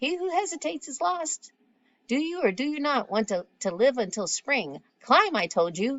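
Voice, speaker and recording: A woman's croaky, put-on character voice, high in pitch, with very wide pitch swings. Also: moderate pace. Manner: bossy, impatient.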